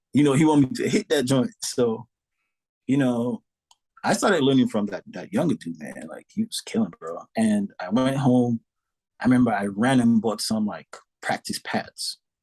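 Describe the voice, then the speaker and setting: The sound is dry and close with no echo as a man's voice makes very wide pitch swings and big swings in loudness. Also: medium pitch for a man, moderate pace. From Saint Lucia. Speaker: drummer. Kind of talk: podcast interview. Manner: animated.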